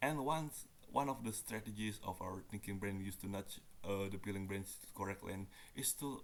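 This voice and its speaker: A man speaks at a fairly low pitch. His pace is moderate and his pitch varies in an ordinary way. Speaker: university student. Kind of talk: reading a nonfiction book aloud. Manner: halting, stumbles on some words.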